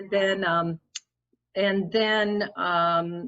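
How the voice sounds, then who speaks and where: A woman's medium-pitched voice, a normal speaking voice, rises and falls with ordinary pitch variation. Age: 60s. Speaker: interviewee. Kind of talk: casual chat.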